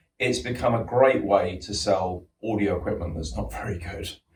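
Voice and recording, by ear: Audible room echo surrounds a man's low-pitched, slightly mellow voice as he speaks at a moderate pace with ordinary pitch variation.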